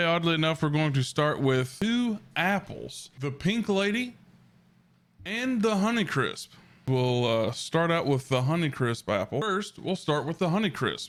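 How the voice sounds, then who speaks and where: A man speaks at a fairly slow pace with a fairly high pitch, very wide pitch swings and very even loudness, on a very clean recording with a silent background. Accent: Southern US. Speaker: food reviewer, ASMR eater. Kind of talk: food review, casual talk to camera.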